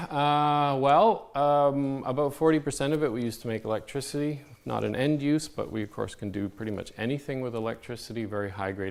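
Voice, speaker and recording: The speaker talks at a fairly quick pace. The intonation is lively. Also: man. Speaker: fusion energy scientist. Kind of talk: conference talk. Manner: fast; hesitant, many fillers.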